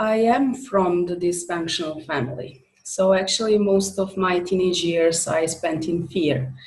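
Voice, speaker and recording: In a Serbo-Croatian accent, a woman speaks at a medium pitch, somewhat breathy. Room echo is audible. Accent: Balkan (Serbo-Croatian) accent in English. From former Yugoslavia. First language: not English. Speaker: author and coach. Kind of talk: interview. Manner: halting, many fillers.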